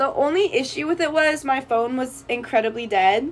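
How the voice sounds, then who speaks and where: A woman speaks loudly. Her intonation is lively. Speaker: college student vlogger. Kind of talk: casual vlog storytelling. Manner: animated.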